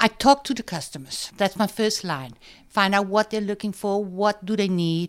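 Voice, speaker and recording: A woman with a German accent on a very clean recording with a silent background. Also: medium pitch for a woman, ordinary pitch variation, moderate pace. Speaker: business owner and designer. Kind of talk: interview.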